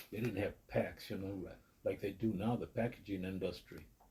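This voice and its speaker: The voice has a dark, mellow, somewhat breathy tone and moves at a moderate pace. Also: man. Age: 80s+. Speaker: recovering alcoholic interviewee. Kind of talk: interview, personal testimony. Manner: halting, repeats words.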